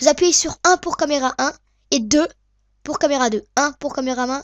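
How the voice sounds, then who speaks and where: A woman talks at a fairly quick pace in a high pitch with ordinary pitch variation, the sound dry and close with no echo. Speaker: video editing tutorial maker. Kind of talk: tutorial. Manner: hesitant, many fillers.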